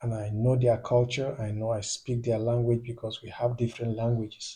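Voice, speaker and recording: Speaking with a Nigerian accent, a man keeps a moderate pace at medium pitch. His dark, mellow, somewhat breathy tone stays monotone and flat. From Nigeria, northeast (Borno State). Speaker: YouTube commentator. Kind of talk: video commentary monologue. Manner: hesitant, with fillers and repetitions.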